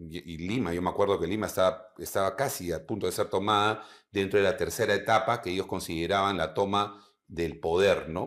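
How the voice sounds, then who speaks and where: The speaker talks at a fairly quick pace with fairly even intonation. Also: man, fairly low pitch for a man. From Peru. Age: 50s. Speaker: retired air force general; guest. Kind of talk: interview. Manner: halting. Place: studio.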